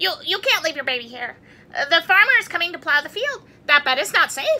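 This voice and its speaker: A woman's squeaky, put-on character voice at an extremely high pitch, delivered at a fairly quick pace. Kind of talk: bedtime story voice. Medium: read story. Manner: stammering, hurried.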